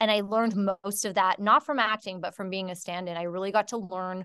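Against a quiet background, a woman with an unremarkable speaking voice talks at a medium pitch with ordinary pitch variation. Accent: Canadian. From Canada. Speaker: filmmaker and actor. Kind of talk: interview.

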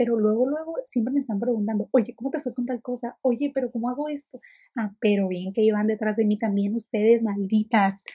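This woman has a fairly high pitch and a dark, mellow tone that is somewhat breathy. The sound is dry and close, with no echo. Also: ordinary pitch variation, fairly quick pace. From Mexico, Ensenada. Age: 20s. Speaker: podcaster. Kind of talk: casual monologue. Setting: alone in her bedroom. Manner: fast, chatty.

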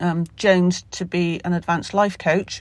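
On a very clean recording with a silent background, a woman with a Somerset accent speaks at a medium pitch in a monotone, flat intonation. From Somerset, England. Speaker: podcaster. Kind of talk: casual solo podcast, unscripted. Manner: informal, rambling, halting with fillers.

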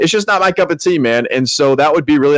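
With an American accent and lively intonation, a man talks at a very fast pace in a dry, close sound with no echo. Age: 30s. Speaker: podcast co-host. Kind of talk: casual chat.

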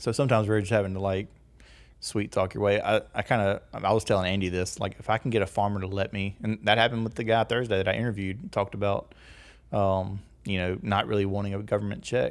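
A man with a slight Southern US accent speaks very fast at a fairly low pitch. His intonation is monotone and flat, and the recording is very clean with a silent background. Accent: slight Southern country. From US South, rural northeast Louisiana. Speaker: agricultural media producer. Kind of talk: casual chat.

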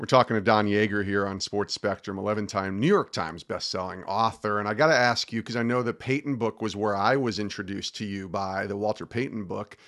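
A man speaks with a normal speaking voice at a fairly low pitch and fairly even intonation. He goes at a fairly quick pace with hardly any pauses against a quiet background. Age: 50s. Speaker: podcast host. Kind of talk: interview.

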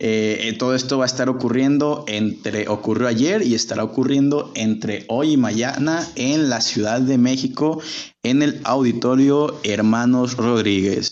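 The speaker goes at a fairly slow pace with hardly any pauses. Pitch varies in an ordinary way. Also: man, medium pitch for a man. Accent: Jalisco. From Mexico, Guadalajara. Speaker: podcast host. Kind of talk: casual chat. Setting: live stream.

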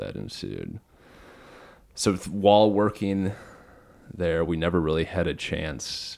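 On a very clean recording with a silent background, a man with an American accent and a very deep, low voice speaks at a fairly slow pace with fairly even intonation and long, frequent pauses. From Minnesota, US. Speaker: podcast host. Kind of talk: casual interview conversation; scripted introduction. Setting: warehouse with microphones.

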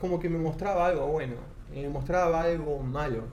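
A man speaks with a fairly high pitch. Audible room echo surrounds his voice. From Argentina. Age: 30s. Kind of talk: testimony.

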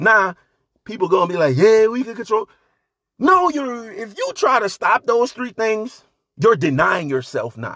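A man's raised, projected voice, high-pitched and bright with a sharp tone, animated at a fairly slow pace, with very wide pitch swings and big swings in loudness. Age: 40s. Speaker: podcast host. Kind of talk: solo monologue.

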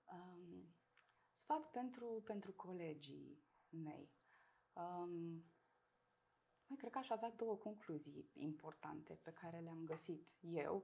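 The delivery is very slow, broken by long, frequent pauses. The intonation is lively. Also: woman, fairly low pitch for a woman. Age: 30s. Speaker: person with multiple sclerosis. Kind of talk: interview.

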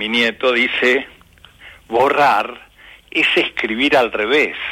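A man speaking at a very slow pace. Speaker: retired teacher and author. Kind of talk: casual chat.

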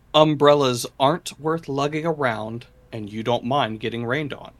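Using an ordinary speaking voice, a man talks at a moderate pace. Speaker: podcast host. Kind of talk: casual banter. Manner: joking, playful.

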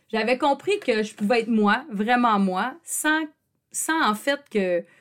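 A woman speaks in a Quebec accent with an animated tone and very wide pitch swings. The recording is very clean, with a silent background. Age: 40s. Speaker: podcast host and psychoeducator. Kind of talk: personal monologue.

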